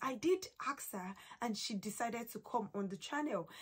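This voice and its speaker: A somewhat breathy woman's voice at a moderate pace, with lively intonation. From Nigeria. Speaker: YouTuber. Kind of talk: casual interview chat.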